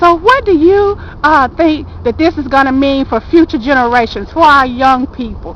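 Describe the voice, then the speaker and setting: Over noticeable background noise, a speaker with an Alabama accent talks at a moderate pace with lively intonation. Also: woman, high pitch for a woman. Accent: Alabama Southern. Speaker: interviewer. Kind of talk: street interview.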